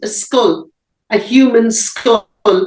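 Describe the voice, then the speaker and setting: A woman speaks with an Irish accent at a high pitch. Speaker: abuse survivor. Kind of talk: interview answer.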